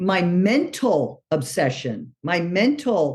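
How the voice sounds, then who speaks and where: In an American accent, a woman talks at a medium pitch. Her pitch swings very widely. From New York City. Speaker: recovering alcoholic. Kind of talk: recovery meeting talk.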